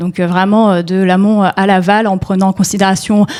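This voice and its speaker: Speaking very fast, a woman talks. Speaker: NGO policy officer on food sovereignty and climate. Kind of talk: panel talk. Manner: hesitant, many fillers.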